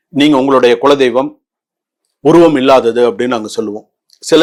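Here is a man with an unremarkable speaking voice at a medium pitch. His intonation stays fairly even. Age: 50s. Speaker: astrologer and spiritual advisor. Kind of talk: devotional talk to viewers.

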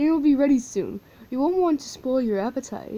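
A female-sounding put-on character voice, high-pitched and fairly quick. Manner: trying not to laugh.

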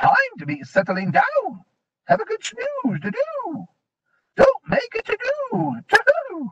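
A man's put-on character voice, extremely high in pitch, at a fairly slow pace. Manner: sleepy, drowsy.

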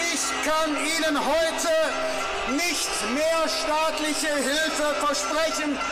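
A man's voice with loud music in the background. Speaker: politician addressing protesters. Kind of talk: public speech. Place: street. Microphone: pa.

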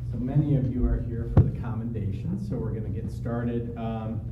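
There is loud background noise as a man speaks. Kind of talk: formal announcement speech. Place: meeting room. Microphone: podium.

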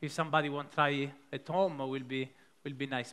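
A man is speaking. He has an Italian accent. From Italy. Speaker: pastry chef; presenter. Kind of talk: live cooking demonstration. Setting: stage with audience. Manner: halting, many fillers. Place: stage. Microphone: headset.

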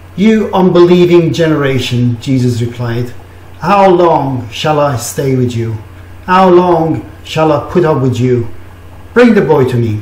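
A man at a fairly slow pace with audible room echo. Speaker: preacher. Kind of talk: scripture reading. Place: home room. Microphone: webcam.

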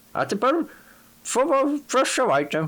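A man uses a put-on character voice with a high pitch. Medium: read story. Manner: irritable, fussy.

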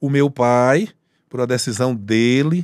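The speaker is a man. The sound is dry with no echo, and the background is quiet. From Piauí, Brazil (Corrente, far south); Piauí, Brazil. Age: 50s. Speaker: police colonel and state politician; state politician. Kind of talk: casual interview. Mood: relaxed, storytelling. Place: studio. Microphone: studio mic.

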